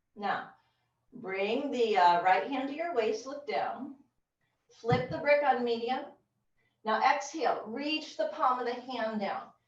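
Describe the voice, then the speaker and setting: In a room with audible echo, a woman with a high pitch talks at a fairly slow pace, her lively intonation broken by long, frequent pauses. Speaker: yoga teacher. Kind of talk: yoga class instruction. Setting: video call. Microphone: low quality video call recording.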